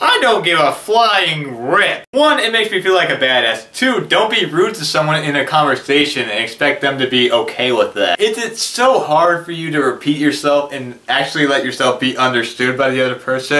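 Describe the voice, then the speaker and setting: A man's animated voice with very wide pitch swings, set against noticeable background noise. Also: fairly high pitch for a man, hardly any pauses. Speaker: video blogger with hearing loss. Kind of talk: casual vlog monologue. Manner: tends to mumble when speaking fast; animated, sarcastic.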